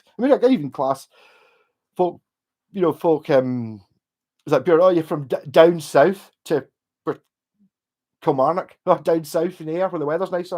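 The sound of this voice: In a West of Scotland accent, a man speaks at a fairly high pitch with a slightly mellow tone and ordinary pitch variation. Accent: Glasgow area, west of Scotland.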